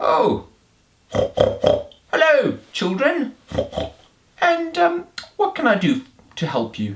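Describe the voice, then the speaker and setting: Putting on a character voice, a man speaks at an extremely high pitch and a very slow pace, with long, frequent pauses. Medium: read story.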